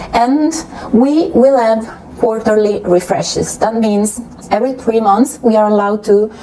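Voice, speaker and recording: In an Italian accent, a woman speaks at a moderate pace with very even loudness. Noticeable background noise runs behind her. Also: fairly high pitch for a woman, ordinary pitch variation. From Italy. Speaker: beauty YouTuber. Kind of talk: casual vlog explanation. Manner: hesitant, with fillers.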